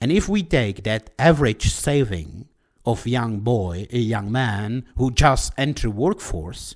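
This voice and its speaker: A man with a Czech accent speaks very slowly with lively intonation on a very clean recording with a silent background. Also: medium pitch for a man. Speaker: podcaster. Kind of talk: solo podcast monologue. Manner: halting.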